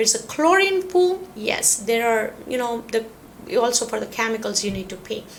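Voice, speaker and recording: Speaking with a non-native accent, a woman uses a fairly high pitch and very wide pitch swings at a moderate pace. Noticeable background noise runs behind her. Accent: non-native English, self-noted pronunciation. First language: not English. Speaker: real estate agent / relocation video host. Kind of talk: informational talk to camera. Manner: hesitant, many fillers.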